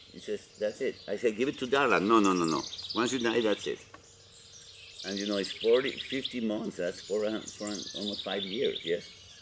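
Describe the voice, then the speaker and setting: Noticeable background noise surrounds a man of medium pitch with fairly even intonation. He talks at a moderate pace, leaving long, frequent pauses. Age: 70s. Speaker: property owner in a dispute. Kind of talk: casual chat. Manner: halting.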